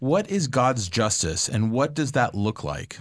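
An ordinary speaking voice with lively intonation comes at a moderate pace. The background is quiet. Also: man. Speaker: podcast host. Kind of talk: podcast hosting. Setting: studio.

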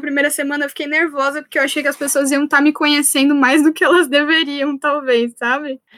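Her intonation is monotone and flat. The woman's pitch is high. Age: 20s. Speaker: writer. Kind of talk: casual chat.

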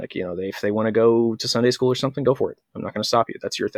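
A man's medium-pitched voice with an American accent and fairly even intonation, in a dry, close sound with no echo. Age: 30s. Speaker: podcast host and online group moderator. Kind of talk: casual interview. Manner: halting, frequent word repetitions.

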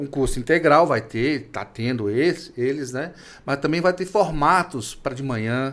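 Pitched fairly high, a man speaks in a plain, everyday voice. His pace is moderate and his pitch variation ordinary. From Minas Gerais, Brazil. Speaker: podcast host, professor. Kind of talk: interview.

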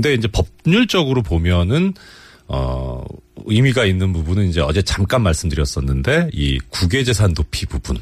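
A man with a very deep, low pitch and very wide pitch swings at a moderate pace, with noticeable background noise. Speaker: former judge. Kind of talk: radio interview. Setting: studio. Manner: explanatory, formal.

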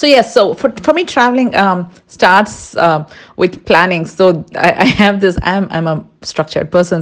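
A woman with a fairly low pitch speaks with an Indian accent. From India, Andhra Pradesh (Kurnool). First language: Tulu. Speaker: amateur photographer and software worker. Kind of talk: casual chat. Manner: hesitant, frequent fillers.

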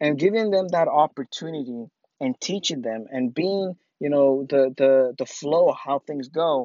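At a moderate pace, a man with a fairly high pitch speaks using lively intonation. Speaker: podcast host and filmmaker. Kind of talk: casual monologue. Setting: outdoors while running. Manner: halting, many fillers.

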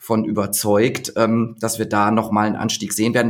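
A man talks at a moderate pace and a medium pitch. It is a normal speaking voice. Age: 30s. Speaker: labour market expert. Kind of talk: podcast interview.

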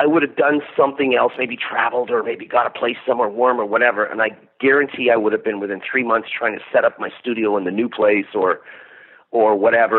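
Speaking at a fairly quick pace with a Canadian accent, a man uses an unremarkable speaking voice with ordinary pitch variation. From Canada. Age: 50s. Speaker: metal musician. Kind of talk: interview.

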